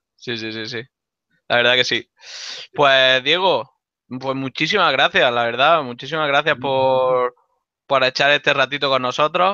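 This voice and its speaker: A man speaks at a fairly slow pace, his pitch medium. He leaves long, frequent pauses, with ordinary pitch variation. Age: 30s. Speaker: school instructor hosting the talk. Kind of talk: casual introduction and Q&A. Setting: video call.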